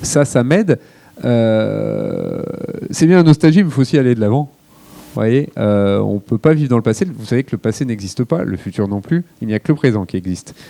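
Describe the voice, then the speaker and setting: With a dark, mellow tone and medium pitch, a man talks at a moderate pace with lively intonation, recorded dry and close with no echo. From France, Lyon. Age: 40s. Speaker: chef. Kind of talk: public Q&A. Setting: library event with audience. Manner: hesitant, many filler words.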